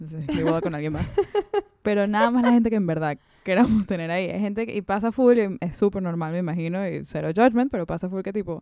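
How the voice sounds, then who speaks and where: A very fast pace with ordinary pitch variation. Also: woman, medium pitch for a woman. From Venezuela. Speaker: podcast co-host. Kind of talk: casual chat.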